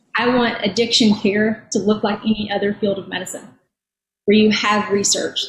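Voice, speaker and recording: This woman speaks at a fairly quick pace with a somewhat breathy, fairly high voice. Her intonation is monotone and flat. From rural Eastern Kentucky. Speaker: physician and addiction policy advocate. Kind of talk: panel discussion, personal testimony. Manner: halting, with repetitions.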